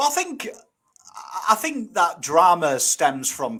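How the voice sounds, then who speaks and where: With a northern English accent, a man talks at a moderate pace, his bright, sharp tone rising and falling in lively intonation. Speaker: guest, recovering addict. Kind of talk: casual chat.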